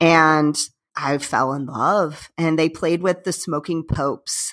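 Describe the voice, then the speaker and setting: A woman with an American accent speaks in an ordinary speaking voice, fairly low in pitch and at a fairly slow pace. The recording is very clean, with a silent background. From Northwest Indiana, near Chicago. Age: 40s. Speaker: punk band musician. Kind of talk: casual interview chat.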